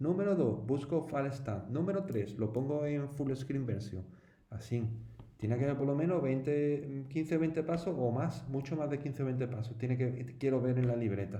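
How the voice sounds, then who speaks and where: Noticeable background noise and audible room echo surround a voice with ordinary pitch variation. The pace is moderate and the loudness stays very even. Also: man, fairly high pitch for a man. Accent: Andalusian. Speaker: teacher. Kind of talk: tutorial. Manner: casual, conversational with fillers.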